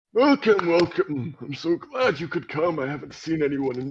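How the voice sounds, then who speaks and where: Putting on a character voice, a man speaks at a fairly high pitch with lively intonation. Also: moderate pace. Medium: actual play. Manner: hesitant, rambling.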